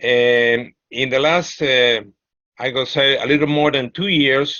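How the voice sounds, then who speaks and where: In a Peruvian accent, a man speaks at a very slow pace with a medium pitch and ordinary pitch variation. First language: Spanish. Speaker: sociologist and political activist. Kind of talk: presentation. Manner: halting, many fillers.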